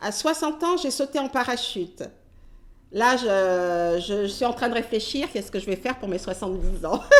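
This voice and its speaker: The speaker is a woman with a fairly high pitch. She uses lively intonation. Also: moderate pace. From French Caribbean (Antilles). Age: 60s. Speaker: retired nurse. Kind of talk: interview testimony. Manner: halting, many hesitations.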